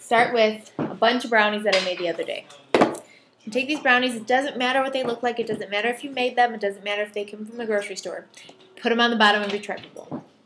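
A woman speaks very fast while noticeable noise sounds in the background. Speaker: home cooking vlogger. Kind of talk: casual cooking tutorial. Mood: cheerful, laughing. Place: kitchen. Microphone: webcam.

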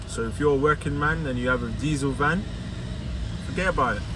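A man is heard over noticeable background noise. The sound is dry with no echo. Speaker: car detailer vlogger. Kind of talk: vlog rant while driving, complaining about London traffic. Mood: frustrated, opinionated. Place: car. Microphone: phone near.

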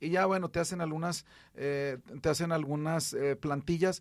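A man's unremarkable speaking voice, fairly high in pitch, with ordinary pitch variation and a moderate pace. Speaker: radio host and rehabilitation physician. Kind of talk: radio health call-in show. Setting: radio studio.

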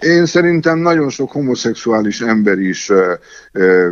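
A man with an unremarkable speaking voice at a medium pitch, lively intonation, a fairly slow pace, and a dry, close sound with no echo. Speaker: interpreter and university lecturer. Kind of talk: interview. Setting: phone call. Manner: formal.

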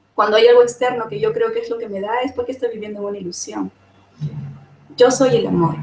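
A woman with a fairly high pitch talks at a very fast pace, with long, frequent pauses, ordinary pitch variation, big swings in loudness and noticeable background noise. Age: 40s. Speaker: summit panelist sharing personal experience. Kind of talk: testimony.

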